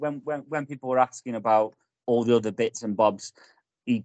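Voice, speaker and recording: This is a man with an unremarkable speaking voice at medium pitch. He talks fairly quickly with ordinary pitch variation, in a dry, close sound with no echo. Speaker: football podcast host. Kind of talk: casual banter chat.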